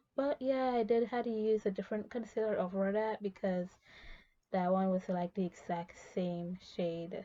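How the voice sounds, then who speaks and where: This quiet voice has a dark, mellow tone and ordinary pitch variation. It keeps to a moderate pace. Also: woman. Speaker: beauty vlogger. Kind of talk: casual chat. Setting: in a walk-in closet at night. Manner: quiet and low volume; hushed to avoid waking others.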